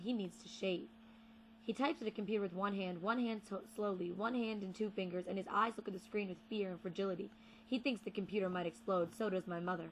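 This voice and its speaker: Speaking very fast, a woman keeps a medium pitch and ordinary pitch variation. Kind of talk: poetry reading.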